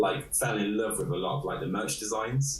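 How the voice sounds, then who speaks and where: Amid audible room echo and noticeable background noise, a man talks in an East Midlands accent. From England, Nottingham. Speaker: illustrator. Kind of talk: interview. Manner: halting.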